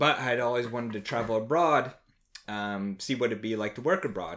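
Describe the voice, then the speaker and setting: A plain, everyday voice, a man with a fairly low pitch and an American accent at a fairly quick pace. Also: very clean recording, silent background. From New Jersey, near Trenton. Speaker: after-school program coordinator. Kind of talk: casual chat. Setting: home next to fireplace.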